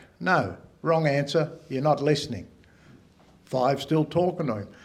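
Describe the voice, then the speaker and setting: Audible room echo surrounds a man with a fairly high pitch. He talks at a moderate pace with ordinary pitch variation. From Australia, NSW south coast. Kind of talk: public talk. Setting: stage with audience.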